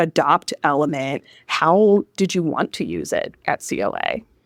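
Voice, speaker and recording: With a northern US accent, a woman of fairly low pitch speaks at a fairly slow pace with lively intonation, in a very clean recording with a silent background and a dry, close sound with no echo. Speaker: podcast host, customer success director. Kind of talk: live podcast interview. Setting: live at a conference.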